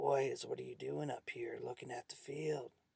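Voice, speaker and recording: A raspy put-on character voice from a man, delivered at a moderate pace. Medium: read story.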